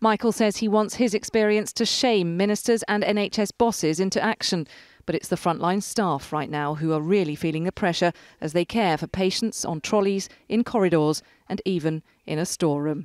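In an unremarkable speaking voice of medium pitch, a woman talks at a moderate pace with ordinary pitch variation, recorded very cleanly against a silent background with a dry, close sound and no echo. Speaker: TV news reporter. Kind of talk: TV news report narration.

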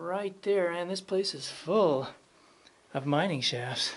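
Speech comes at a fairly slow pace over light background noise. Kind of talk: casual vlog commentary. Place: tunnel cave. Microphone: phone near.

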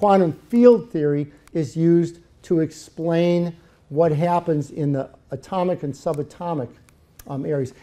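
Speaking at a fairly slow pace, a man uses a high pitch and a dark, mellow tone with ordinary pitch variation. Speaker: church sermon speaker. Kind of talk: sermon delivered to a congregation. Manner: conversational, enthusiastic. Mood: explanatory, engaged. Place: church. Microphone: podium.

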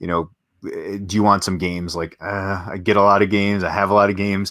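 Against a quiet background, a man talks at a fairly quick pace in a fairly low pitch with ordinary pitch variation. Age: 40s. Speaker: board game channel host. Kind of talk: casual chat. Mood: relaxed, friendly. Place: home room. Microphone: video call.

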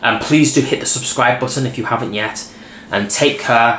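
Light background noise sits under a man's voice. Audible room echo surrounds him. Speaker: vlogger. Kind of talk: casual vlog chat. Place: home room.

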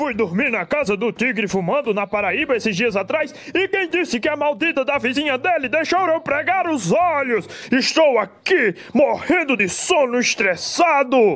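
A man's cartoonish character voice, extremely high-pitched and angry, at a moderate pace with hardly any pauses, over light background noise. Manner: angry, ranting.

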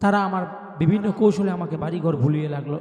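Noticeable background noise sits under the recording. A man speaks at a high pitch with ordinary pitch variation. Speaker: Islamic preacher. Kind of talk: personal testimony. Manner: repetitive.

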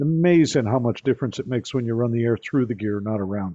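The background stays quiet as a man talks. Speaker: guest. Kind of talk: presentation with anecdotes. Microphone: video call.

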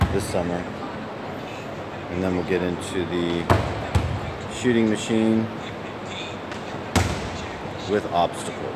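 A man speaks at a very slow pace with long, frequent pauses. Loud background noise runs underneath. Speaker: basketball coach. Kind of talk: tutorial commentary. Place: hall. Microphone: phone near.

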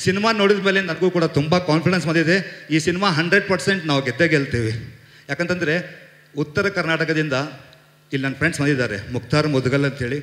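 Audible room echo surrounds a man with a fairly high pitch and ordinary pitch variation against a quiet background. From North Karnataka (Hubballi); Karnataka. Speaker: film producer. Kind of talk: press event speech. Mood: confident, grateful. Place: stage. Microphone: handheld.

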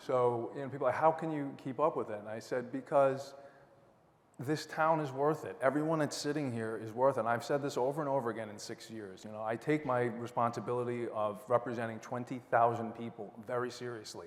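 Here a man talks at a fairly quick pace with a medium pitch and fairly even intonation. His loudness swings widely. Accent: Long Island. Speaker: town council candidate, lawyer. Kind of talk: candidate debate speech. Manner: casual, many fillers.

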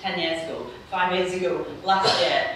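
Strong room echo and light background noise surround a woman's voice. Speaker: political economist. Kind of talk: panel discussion. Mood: earnest, frustrated. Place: hall.

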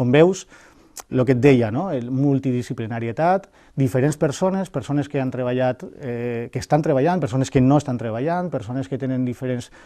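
Medium-pitched male speech at a moderate pace, dark and mellow in tone, with ordinary pitch variation and a quiet background. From Valencia region, Spain (Algemesí); Valencia region, Spain. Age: 40s. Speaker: mayoral candidate and university lecturer; election candidate. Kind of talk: interview. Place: studio. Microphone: lapel.

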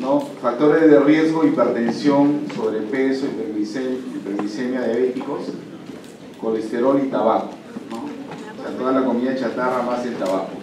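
Amid noticeable background noise and audible room echo, a man talks at a fairly slow pace with ordinary pitch variation. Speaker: medical lecturer. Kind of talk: lecture. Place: classroom. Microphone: camera far.

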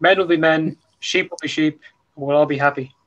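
Over noticeable background noise, a man with an Irish accent talks at a very fast pace, his fairly high voice showing ordinary pitch variation. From Ireland. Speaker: podcast host. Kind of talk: casual chat. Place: home room. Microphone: video call.

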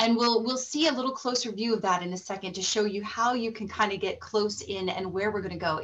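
A woman with a fairly high, somewhat breathy voice talks at a fairly quick pace with ordinary pitch variation. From Colorado, US. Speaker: presenter. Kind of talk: webinar presentation. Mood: enthusiastic, warm. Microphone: webcam.

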